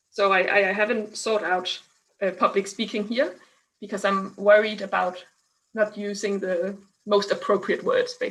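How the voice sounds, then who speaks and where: A woman with a Danish accent talks at a medium pitch and a moderate pace. Her intonation is monotone and flat. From Denmark. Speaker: scientist and science communicator. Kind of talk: online interview. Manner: halting.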